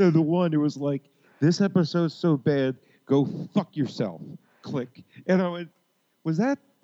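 This man talks at a moderate pace, with ordinary pitch variation. He leaves long, frequent pauses. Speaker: podcast co-host. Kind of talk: casual chat. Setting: home recording via mixer.

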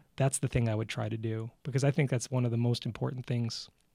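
A normal speaking voice runs at a fairly quick pace with fairly even intonation and a dry, close sound with no echo. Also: man. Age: 40s. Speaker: music educator and DJ. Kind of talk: casual chat.

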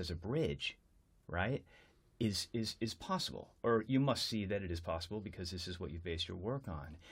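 The delivery is fairly quick, with lively intonation and a somewhat breathy tone. The recording is very clean, with a silent background. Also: man. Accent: American. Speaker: podcast host and educator. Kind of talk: interview. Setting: London.

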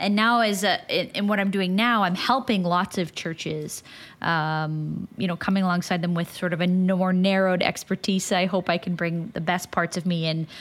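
On a very clean recording with a silent background, a woman speaks in a plain, everyday voice at medium pitch and a moderate pace. Her loudness stays very even, her intonation fairly even, and she hardly pauses. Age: 30s. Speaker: podcast host. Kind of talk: interview conversation.

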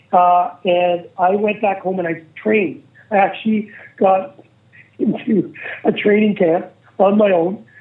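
A man in a Manitoban accent, high-pitched for a man, at a fairly slow pace with long, frequent pauses. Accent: Canadian (Manitoba). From Canada, Winnipeg. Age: 50s. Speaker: former pro hockey player, podcast host. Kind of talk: casual interview storytelling. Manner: animated.

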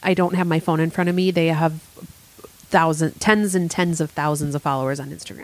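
A woman at a fairly quick pace with fairly even intonation, over noticeable background noise. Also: fairly low pitch for a woman. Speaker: vodka company owner. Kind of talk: casual chat.

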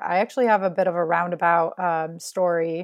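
A woman with a normal speaking voice, medium pitch, fairly even intonation and a moderate pace. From US Midwest, Chicago area. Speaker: orthopedic surgery resident. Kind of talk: casual interview chat.

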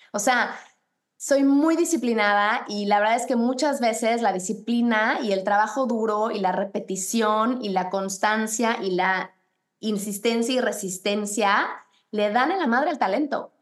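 A woman with an unremarkable speaking voice talks fairly slowly, her fairly high pitch moving with ordinary variation. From Mexico. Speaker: fitness instructor and running coach. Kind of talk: casual interview.

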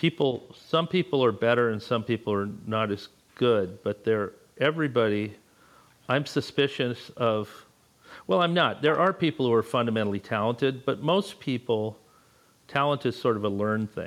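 Here is a man with a normal speaking voice at medium pitch. He talks at a moderate pace with lively intonation. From Los Angeles. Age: 60s. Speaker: artist and teacher. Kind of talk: casual chat.

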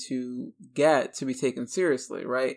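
The recording is very clean, with a silent background. A man talks at a fairly slow pace in a medium pitch. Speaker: podcast host. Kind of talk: conversational interview.

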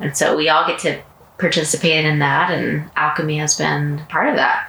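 Very deep, low pitch from a woman at a fairly slow pace, with noticeable background noise. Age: 40s. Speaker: podcast host. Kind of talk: casual chat. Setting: at home.

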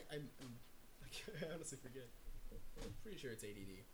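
A man's bright, sharp voice with vocal fry swings very widely in pitch as he speaks at a fairly slow pace. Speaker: guest. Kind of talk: casual chat.

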